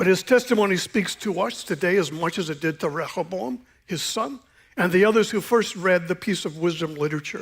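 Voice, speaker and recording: Recorded very cleanly against a silent background, a man speaks in a high voice with an American accent. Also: ordinary pitch variation. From Eastern Washington, US. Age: 60s. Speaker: pastor. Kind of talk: sermon. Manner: casual, conversational with many fillers.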